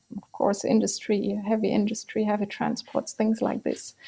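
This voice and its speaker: A woman speaks with a non-native accent. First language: not English. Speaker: energy policy expert. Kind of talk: panel discussion.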